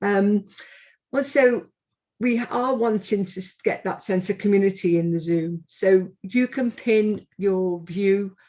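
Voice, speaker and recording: A dark, mellow tone carries a Liverpool accent. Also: woman. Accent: Scouse (Liverpool). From Liverpool, England. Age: 60s. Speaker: arts organisation director. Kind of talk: event opening address. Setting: video call. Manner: hesitant with fillers.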